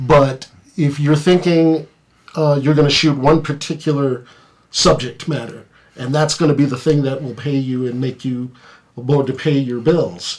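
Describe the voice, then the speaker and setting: A plain, everyday voice moves at a moderate pace. Its intonation stays fairly even. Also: man, fairly high pitch for a man. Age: 50s. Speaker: photographer. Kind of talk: casual chat.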